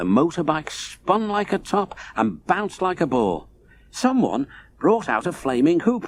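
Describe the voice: What's heard is plain reading aloud.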